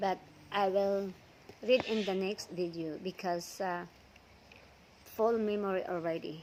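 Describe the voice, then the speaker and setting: With a non-native accent, a woman of medium pitch speaks at a fairly slow pace, with fairly even intonation and long, frequent pauses. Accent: non-native English accent from mother tongue. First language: not English. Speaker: vlogger reading Bible stories. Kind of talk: reading aloud; casual talk to viewers. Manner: hesitant, with fillers.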